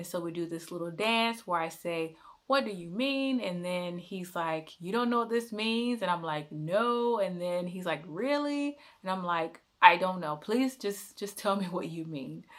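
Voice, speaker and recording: An ordinary speaking voice from a woman with an American accent, medium in pitch, moves at a fairly slow pace with lively intonation. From United States. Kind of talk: casual talk to camera.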